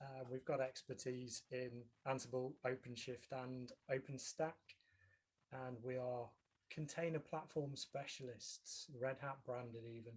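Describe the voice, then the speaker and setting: At a fairly slow pace, a man speaks in a somewhat breathy, medium-pitched voice with monotone, flat intonation. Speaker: tech company representative. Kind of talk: online meetup presentation.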